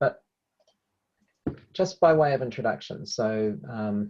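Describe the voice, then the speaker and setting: A man's fairly low-pitched voice with a dark, mellow tone and a New Zealand accent. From New Zealand, Hamilton. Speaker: evaluation consultant, workshop presenter. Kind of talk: webinar presentation.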